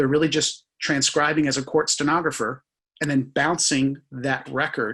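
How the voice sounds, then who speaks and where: This voice has a strong Philadelphia accent and a bright, sharp tone, with ordinary pitch variation. It moves at a moderate pace on a very clean recording with a silent background. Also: man. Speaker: conversational AI consultant. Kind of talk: conference talk.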